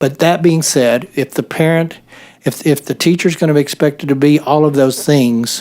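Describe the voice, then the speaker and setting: A man's normal speaking voice in an American accent, fairly high in pitch, with fairly even intonation, very even loudness and a moderate pace. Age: 60s. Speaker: state senator. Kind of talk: committee hearing discussion.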